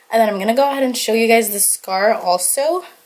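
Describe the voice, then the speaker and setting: With noticeable background noise behind her, a woman speaks at a fairly quick pace in a fairly high pitch with ordinary pitch variation. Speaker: beauty and lifestyle vlogger. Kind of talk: casual vlog. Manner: fast; casual, lots of fillers.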